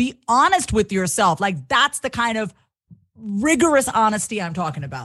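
A woman with an American accent speaks at a fairly high pitch with very wide pitch swings, a bright, sharp tone and vocal fry, against a quiet background. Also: moderate pace. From Long Island, New York. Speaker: confidence coach and comedian. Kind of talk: interview, personal testimony.

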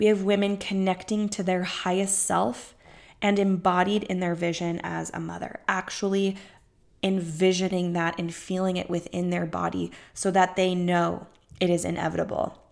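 A woman speaks at a moderate pace with a medium pitch and flat, monotone intonation. The recording is very clean, with a silent background. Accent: American. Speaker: fertility coach. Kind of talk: solo podcast monologue. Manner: effusive.

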